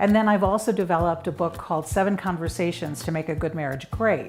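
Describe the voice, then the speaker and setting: With a Chicago accent, a woman speaks at a fairly low pitch while music plays in the background. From US Midwest, Chicago. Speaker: marriage coach. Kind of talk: interview monologue.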